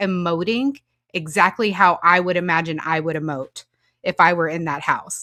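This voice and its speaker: Against a silent background on a very clean recording, a woman with an American accent speaks at a moderate pace in a bright, sharp tone. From Oklahoma, Moore. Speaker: podcast host. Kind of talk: podcast interview.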